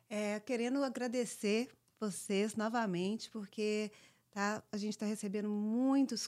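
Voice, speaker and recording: In a very clean recording with a silent background, a woman has a plain, everyday voice at a medium pitch. She speaks at a fairly slow pace with fairly even intonation. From born in US, raised largely in Brazil. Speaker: podcast co-host. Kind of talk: casual chat.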